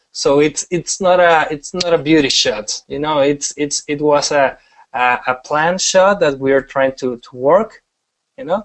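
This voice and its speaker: This man speaks with a strong Mexican accent at a fairly slow pace. His pitch is fairly high, with ordinary variation. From Mexico. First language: Spanish. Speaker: wedding photographer. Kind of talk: webinar presentation. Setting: online webinar broadcast. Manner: halting, many repetitions; casual, animated.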